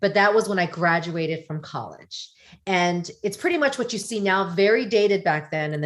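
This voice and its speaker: A plain, everyday voice with an American accent and lively intonation, at a moderate pace, on a very clean recording with a silent background. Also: woman. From US. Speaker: podcast guest. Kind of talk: casual chat.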